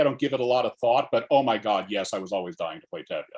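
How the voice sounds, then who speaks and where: A man with vocal fry and an American accent. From Alabama, USA. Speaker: actor, director and playwright. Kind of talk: interview answer.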